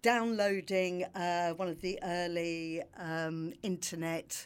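A woman with a London accent speaks at a very slow pace, with a fairly low pitch and fairly even intonation. The recording is very clean, with a silent background. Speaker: PR agency founder. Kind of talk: casual chat.

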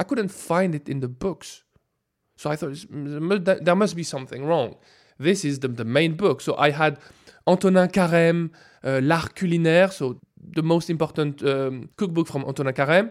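A man with a French accent talks at a moderate pace in a fairly high pitch, with ordinary pitch variation. The recording is very clean, with a silent background. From France. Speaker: food scientist. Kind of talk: interview.

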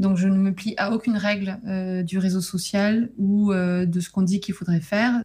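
A woman speaks with hardly any pauses at a moderate pace. Her medium-pitched voice has flat, monotone intonation. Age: 30s. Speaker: novelist. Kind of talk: interview.

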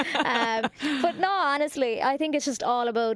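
In a Cork accent, a woman talks with ordinary pitch variation. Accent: Cork Irish. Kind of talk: casual chat. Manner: animated.

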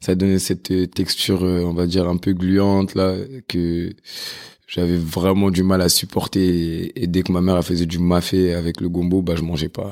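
Very deep and low, a man's voice moves at a fairly slow pace with monotone, flat intonation. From Paris, France. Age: 20s. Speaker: chef. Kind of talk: casual interview chat.

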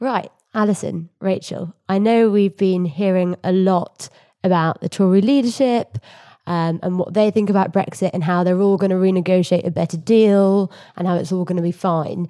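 This woman has a dark, mellow tone, a medium pitch and fairly even intonation. The recording is very clean, with a silent background. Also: moderate pace. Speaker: podcast host. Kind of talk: casual chat.

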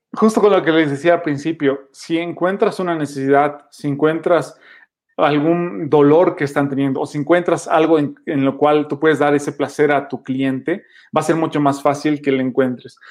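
With fairly even intonation and a fairly high pitch, a man talks at a moderate pace over a quiet background. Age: 20s. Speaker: podcaster. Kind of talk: interview.

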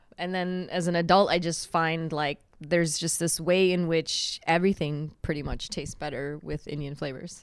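A woman's fairly low voice at a moderate pace, with hardly any pauses and fairly even intonation. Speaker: chef and restaurant owner. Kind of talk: casual interview.

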